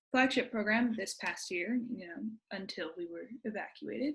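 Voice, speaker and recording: The speech moves at a moderate pace in a plain, everyday voice. Its pitch shifts with ordinary variation. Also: woman. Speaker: program alumna presenting. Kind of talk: presentation.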